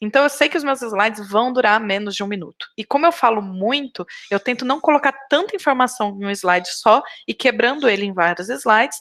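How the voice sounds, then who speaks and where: A woman's fairly high, lively voice at a fairly quick pace, dry and close with no echo. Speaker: biology researcher and lecturer. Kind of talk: lecture. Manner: fast.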